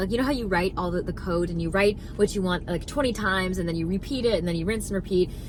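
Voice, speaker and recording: Very fast and animated, a woman talks at a medium pitch with ordinary pitch variation. There is noticeable background noise. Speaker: spiritual manifestation content creator. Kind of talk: motivational talk to camera.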